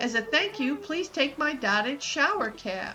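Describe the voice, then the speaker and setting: A woman speaks at a moderate pace in a high-pitched, put-on character voice. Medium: game stream. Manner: chatty, friendly.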